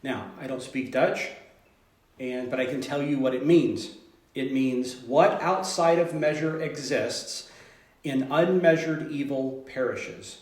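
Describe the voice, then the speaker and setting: In audible room echo, a man with an American accent speaks fairly slowly at a fairly high pitch. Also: fairly even intonation. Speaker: teacher leading a study group. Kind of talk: informal group lesson. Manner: halting, many fillers.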